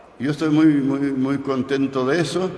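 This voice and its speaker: A man speaks at a fairly slow pace. Audible room echo and noticeable background noise surround his voice. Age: 80s+. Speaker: journalist. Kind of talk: conference talk. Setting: university auditorium. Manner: halting.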